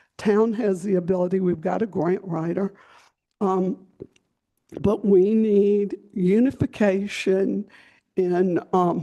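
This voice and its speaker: Speaking very slowly with long, frequent pauses, a woman at medium pitch has a dark, mellow tone and fairly even intonation. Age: 70s. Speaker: resident speaking at public meeting. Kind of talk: public comment at town meeting.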